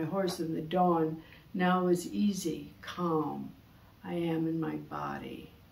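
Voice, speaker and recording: A woman speaks in a fairly low voice. Room echo is audible. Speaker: poet. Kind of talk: poetry reading, performed aloud from a written poem. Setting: studio. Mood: calm, contemplative. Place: studio.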